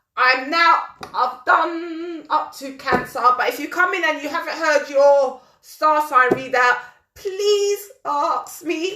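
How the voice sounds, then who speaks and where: Using a raised, projected voice with a London accent, a woman speaks very slowly, her tone bright and sharp and her intonation lively. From London, England. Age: 40s. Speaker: talk show host. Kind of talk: live-stream chat reading horoscopes. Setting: live audio stream on social media.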